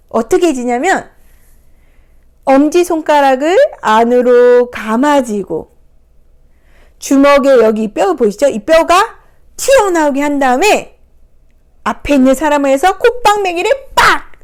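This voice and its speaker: Speaking at a very slow pace with long, frequent pauses, a woman uses a high voice with very wide pitch swings while her loudness stays very even. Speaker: picture book therapy counselor. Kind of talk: picture book talk to camera. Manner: hesitant fillers, conversational.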